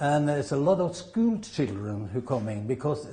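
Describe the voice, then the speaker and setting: Here a man speaks with a Norwegian accent. His voice is somewhat breathy, with a dark, mellow tone. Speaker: Norwegian club representative. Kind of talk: interview. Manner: halting.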